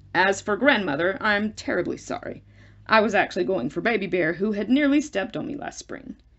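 A croaky, female-sounding put-on character voice at a fairly high pitch. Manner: grandiose, old-fashioned, melodramatic.

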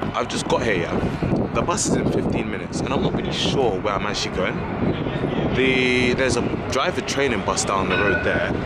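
A man at a fairly quick pace with ordinary pitch variation, dry sound with no echo, and loud background noise. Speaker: travel vlogger. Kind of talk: casual vlog chat. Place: station. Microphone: phone near.

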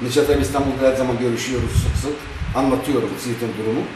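Fairly quick male speech at medium pitch, carrying audible room echo and noticeable background noise. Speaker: folk musician and former TV host. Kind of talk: interview. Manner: animated.

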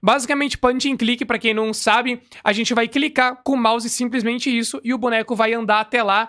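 Against a quiet background, a man with a bright, sharp tone talks fairly quickly. His pitch is extremely high, and his intonation is fairly even. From Brazil. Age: 20s. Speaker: gaming youtuber; gaming reactor. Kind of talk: gameplay reaction commentary. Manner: casual, many filler words.

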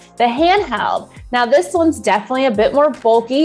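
Faint music plays in the background as a woman speaks at a high pitch. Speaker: video marketing channel host. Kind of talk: tutorial. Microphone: lapel.

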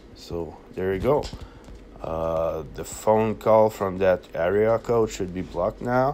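A slow pace, slightly mellow tone and ordinary pitch variation. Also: man.

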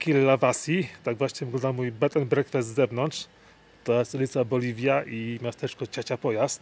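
A man at a moderate pace with fairly even intonation, in a dry sound with no echo. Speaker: travel vlogger. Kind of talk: casual vlog chat. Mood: slightly resigned, amused. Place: street. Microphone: phone near.

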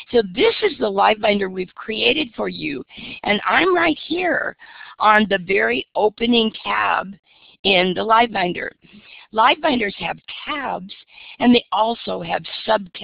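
With vocal fry and a fairly high pitch, a woman sounds enthusiastic, using lively intonation at a fairly slow pace with long, frequent pauses. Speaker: educator presenting on professional development. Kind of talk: conference webinar presentation. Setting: video call.

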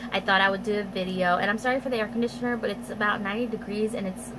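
A woman talks at a very fast pace. Noticeable background noise can be heard. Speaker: beauty vlogger. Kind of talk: casual haul vlog chat. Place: home room. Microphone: phone near.

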